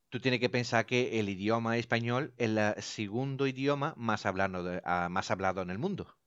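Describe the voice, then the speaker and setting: With an Italian accent, a man at medium pitch talks at a moderate pace with ordinary pitch variation and hardly any pauses against a quiet background. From Italy. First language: Italian (speaking Spanish). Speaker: radio station director. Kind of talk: casual chat.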